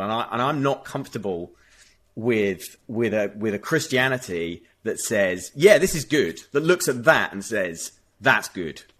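A man speaks at a fairly slow pace with a British accent, his pitch medium and his intonation lively. The background is quiet. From United Kingdom. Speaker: author and youth charity leader. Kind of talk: debate discussion.

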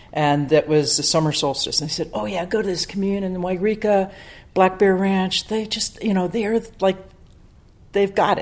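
A woman with an American accent and a plain, everyday voice, medium pitch, ordinary pitch variation and a moderate pace. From US East Coast, Maryland. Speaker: church member telling her story. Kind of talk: testimony. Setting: church.

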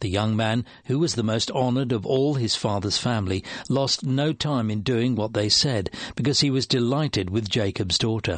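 A man talks in an ordinary speaking voice at a medium pitch and moderate pace. His loudness stays very even, with ordinary pitch variation. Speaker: Bible reader. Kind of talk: reading aloud.

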